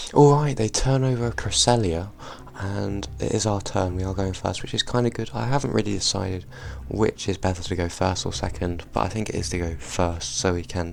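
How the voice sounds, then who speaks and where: Over noticeable background noise, a man with a very deep, low pitch speaks at a moderate pace with lively intonation. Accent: British. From Britain. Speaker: trading card game YouTuber. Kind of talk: gameplay commentary; deck overview tutorial. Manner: casual, some filler words.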